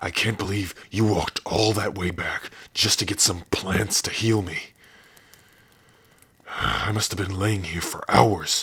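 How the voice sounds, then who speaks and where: Using a put-on character voice, a man with a fairly low pitch speaks at a fairly slow pace, with long, frequent pauses. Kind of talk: ASMR roleplay.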